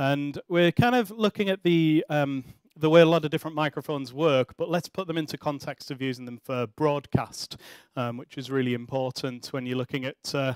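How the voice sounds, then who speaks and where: A man talking at a fairly quick pace, dry with no echo, in a quiet background. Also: ordinary pitch variation. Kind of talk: tutorial presentation. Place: studio. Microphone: headset.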